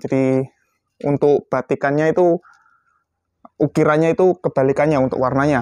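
A man talks at a moderate pace in a fairly high pitch with an upbeat tone. The sound is dry with no echo, and the background is quiet. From Indonesia. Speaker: airgun shop presenter. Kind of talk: sales pitch. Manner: brisk, upbeat street-seller patter; repetitive, calling out to buyers. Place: shop.

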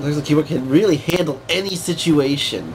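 A fairly high-pitched man speaks with ordinary pitch variation as noticeable noise runs in the background. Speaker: tech reviewer. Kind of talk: casual product review to camera. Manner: sarcastic, mocking.

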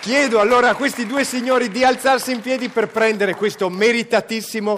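Over crowd noise in the background, a man talks in an animated tone at an extremely high pitch, with ordinary pitch variation. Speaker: event presenter; presenter. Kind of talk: event hosting. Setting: stage with audience. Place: stage. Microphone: handheld.

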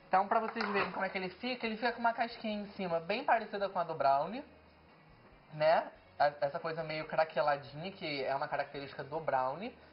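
An ordinary speaking voice is heard over light background noise. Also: woman, fairly low pitch for a woman. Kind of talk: cooking tutorial. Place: kitchen.

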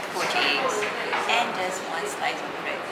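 Loud background noise behind a woman's moderate-paced speech. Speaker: cafe reviewer. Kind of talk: casual vlog chat. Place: cafe. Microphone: camera far.

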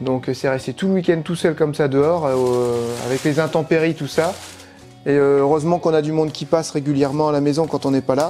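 A man talking at a fairly quick pace, with faint music in the background. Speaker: bus conversion vlogger. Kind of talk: casual vlog chat. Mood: mildly annoyed, joking.

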